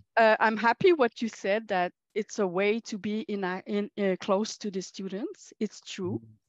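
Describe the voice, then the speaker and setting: A woman talks at a fairly slow pace and a medium pitch, with ordinary pitch variation and hardly any pauses. The sound is dry and close with no echo, over a quiet background. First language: French. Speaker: college teacher, workshop participant. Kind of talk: workshop group discussion. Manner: halting, many hesitations and self-corrections.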